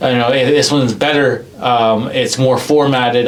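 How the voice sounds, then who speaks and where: With audible room echo and noticeable background noise, a man talks at a medium pitch in a monotone, flat delivery. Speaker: podcast host. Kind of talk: casual chat. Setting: studio. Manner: halting.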